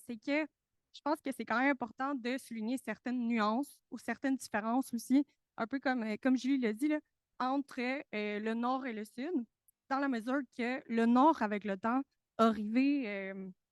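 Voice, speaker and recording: In a very clean recording with a silent background and a dry, close sound with no echo, a high-voiced woman speaks at a fairly slow pace with ordinary pitch variation and long, frequent pauses. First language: Spanish (speaking French). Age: young. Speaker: researcher, conference participant. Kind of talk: panel talk. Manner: hesitant, many fillers and repetitions.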